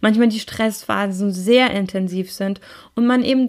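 Her pace is fairly slow, and this woman's pitch varies in an ordinary way.

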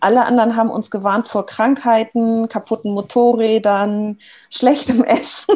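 A normal speaking voice at a moderate pace. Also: woman. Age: 40s. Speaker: agile coach. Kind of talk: casual interview chat.

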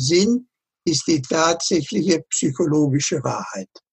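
Speaking at a very slow pace, a man uses a high voice. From northern Germany (Lower Saxony). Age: 80s+. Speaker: author and retired professor. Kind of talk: interview. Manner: halting, many repetitions.

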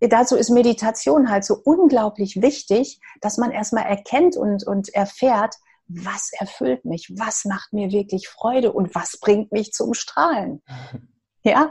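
Very slowly, a woman speaks in a somewhat breathy, fairly high voice with lively intonation. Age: 50s. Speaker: hairdresser and energy therapist. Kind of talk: interview.

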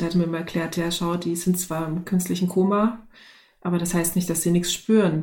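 Amid audible room echo, a woman talks at a moderate pace in a fairly low, somewhat breathy voice with a dark, mellow tone and monotone, flat intonation. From East Germany. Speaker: organisational development consultant. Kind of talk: casual chat.

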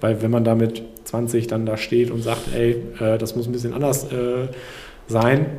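Noticeable background noise and audible room echo fill the recording. The man speaking has a medium pitch. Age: 30s. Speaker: entrepreneur. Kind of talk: casual chat. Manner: hesitant.

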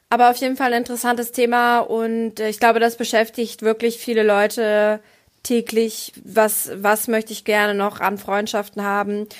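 Here a woman talks at a moderate pace. Her intonation stays monotone and flat. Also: fairly high pitch for a woman. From rural Germany. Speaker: stand-up comedian and podcast co-host. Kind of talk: casual chat. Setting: video call.

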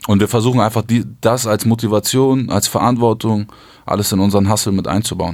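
A man with an unremarkable speaking voice talks at a fairly low pitch and moderate pace, with ordinary pitch variation, in a very clean recording with a silent background. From southern Hamburg, Germany. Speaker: music manager. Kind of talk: interview. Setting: studio.

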